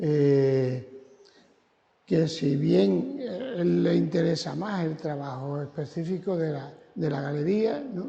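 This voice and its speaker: In a room with audible echo, a man with a fairly high pitch and a dark, mellow, somewhat breathy tone speaks very slowly with lively intonation. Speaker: gallery owner. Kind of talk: guided exhibition tour. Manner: soft-spoken. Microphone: too quiet.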